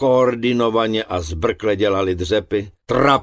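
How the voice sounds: The clip has a natural reading voice with ordinary pitch variation.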